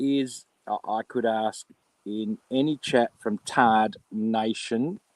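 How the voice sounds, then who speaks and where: Recorded dry and close with no echo, a man with an Australian accent speaks at a very slow pace. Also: medium pitch for a man. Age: 50s. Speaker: live streamer. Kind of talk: casual live stream rant. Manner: animated.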